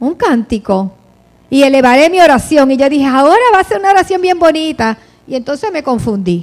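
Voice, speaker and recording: A woman speaks at a fairly quick pace, her high pitch moving in very wide swings. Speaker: preacher. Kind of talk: sermon.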